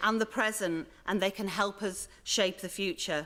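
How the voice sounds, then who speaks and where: A woman with a Leeds accent speaks with ordinary pitch variation. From northern England, Leeds. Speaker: museum organisation director. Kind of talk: conference welcome speech.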